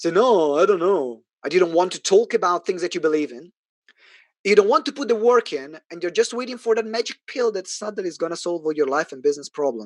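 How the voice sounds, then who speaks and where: Speaking very fast with an Italian accent, a man uses a high pitch, lively intonation and big swings in loudness, in a dry, close sound with no echo. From Italy. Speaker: business coach. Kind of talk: sales pitch. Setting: online event. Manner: animated.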